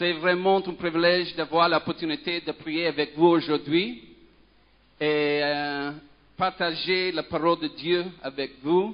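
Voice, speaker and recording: A high-pitched man with a non-native accent speaks at a very slow pace. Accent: foreign accent in French. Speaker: pastor, children's ministry worker. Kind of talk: sermon. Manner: halting, many hesitations.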